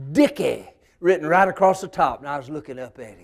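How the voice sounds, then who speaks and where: A man's high-pitched voice comes through in a Southern US accent. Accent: Southern American. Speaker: storyteller and humorist. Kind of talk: humorous folk storytelling.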